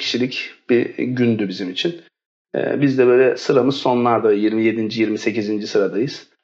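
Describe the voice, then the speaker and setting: A man talks at a fairly slow pace in a medium pitch with ordinary pitch variation. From Istanbul, Turkey. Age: 30s. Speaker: education consultancy director. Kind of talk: casual interview. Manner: hesitant, many fillers.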